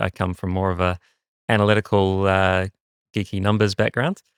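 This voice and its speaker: Fairly low in pitch, a man talks with fairly even intonation. The recording is very clean with a silent background and a dry, close sound with no echo. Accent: New Zealand. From New Zealand. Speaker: marketing executive. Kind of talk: interview. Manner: halting, many fillers.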